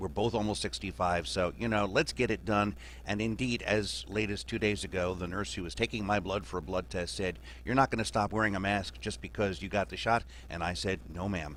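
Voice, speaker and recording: A fairly low-pitched man talks at a fairly quick pace with vocal fry. His pitch swings very widely. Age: 60s. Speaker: journalist panelist. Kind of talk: radio roundtable discussion.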